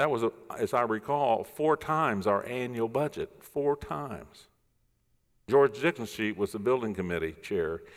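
In a very clean recording with a silent background, a man with a normal speaking voice talks at a moderate pace and medium pitch, with lively intonation. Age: 60s. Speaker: pastor. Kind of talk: sermon. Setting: church.

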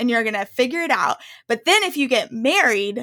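Her tone bright and sharp, a woman speaks at a high pitch with an American accent. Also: dry, close sound with no echo. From US South. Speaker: women's ministry leader. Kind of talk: casual chat.

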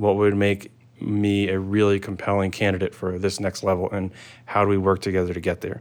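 In an American accent, a man speaks at a fairly quick pace with a fairly low pitch and a monotone, flat intonation, on a very clean recording with a silent background. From New York City (Staten Island). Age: 30s. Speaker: tech engineering director. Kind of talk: casual interview.

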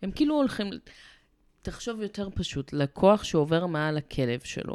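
A woman with a fairly low pitch speaks at a moderate pace, her intonation lively. The recording is very clean, with a silent background. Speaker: dog behavior therapist. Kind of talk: casual chat.

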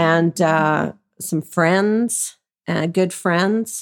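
The pace is very slow as a woman speaks in a fairly low pitch. The sound is dry and close, with no echo. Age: 60s. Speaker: sex worker. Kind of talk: interview.

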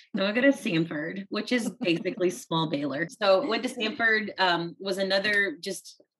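An unremarkable speaking voice from a woman with an American accent, at a moderate pace with ordinary pitch variation. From South Texas, US; teen years in India. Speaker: author. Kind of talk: casual chat.

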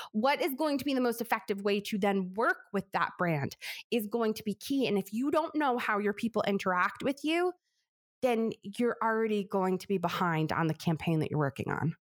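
In a very clean recording with a silent background and a dry, close sound with no echo, a woman with an American accent speaks at a fairly high pitch with very wide pitch swings. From New York. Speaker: business coach and author. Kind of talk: interview conversation. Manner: fast talker.

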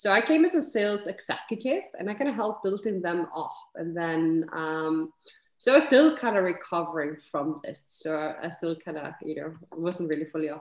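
A woman with a fairly low voice speaks at a moderate pace. Her intonation is lively, and her loudness swings widely. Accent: Icelandic. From Iceland. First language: Icelandic. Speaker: serial entrepreneur. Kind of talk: interview conversation.

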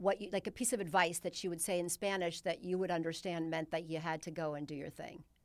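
A woman speaks in an unremarkable speaking voice at a medium pitch, with ordinary pitch variation. Her pace is fairly quick, and the recording is very clean with a silent background. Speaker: podcast host. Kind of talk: interview, casual conversation.

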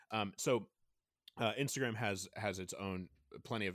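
An unremarkable speaking voice from a man, fairly low in pitch with ordinary pitch variation, comes through a very clean recording with a silent background. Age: 30s. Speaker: book author and youth ministry volunteer. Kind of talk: casual interview conversation. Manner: fast, with many fillers and restarts.

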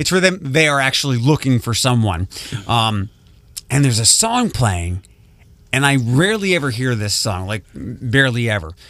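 A normal speaking voice from a man with an American accent, at a medium pitch and fairly quick pace, with lively intonation. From Ohio, Toledo area. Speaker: radio morning show host. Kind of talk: casual morning radio chat.

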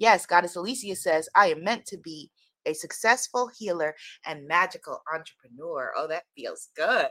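Speaking at a moderate pace in a New York accent, a woman with a bright, sharp tone shows big swings in loudness on a dry, close recording with no echo. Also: medium pitch for a woman. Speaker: spiritual teacher and online host. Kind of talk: inspirational live talk. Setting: live stream with online audience. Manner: animated, energetic.

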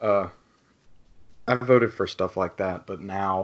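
This voice belongs to a man. It sits fairly low in pitch. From Louisiana. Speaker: podcaster, student. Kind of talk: casual chat.

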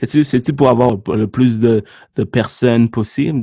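A man with a medium pitch and a dark, mellow tone speaks at a moderate pace with ordinary pitch variation. The recording is very clean, with a silent background and a dry, close sound with no echo. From Sri Lanka. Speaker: podcast host, mortgage broker. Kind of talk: podcast interview.

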